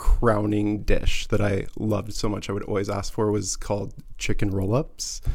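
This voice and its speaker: A man speaks at a moderate pace with a Midwestern American accent. Audible room echo surrounds his voice. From US Midwest, rural Missouri near Kansas City. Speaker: former cheesemaker. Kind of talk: casual chat. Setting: studio.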